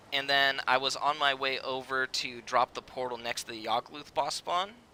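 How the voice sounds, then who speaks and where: Here a man is talking. He is soft-spoken. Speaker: video game streamer. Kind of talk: live gameplay stream chat. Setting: live stream. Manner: hesitant, filler-heavy.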